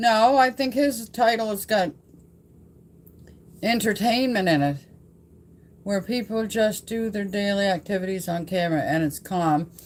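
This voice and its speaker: A woman with a Nova Scotian accent, fairly high-pitched and lively in intonation, at a moderate pace with long, frequent pauses. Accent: Nova Scotian Canadian English. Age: 70s. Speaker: vlogger. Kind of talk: casual livestream chat. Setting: home livestream, old farmhouse. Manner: loud; louder when excited.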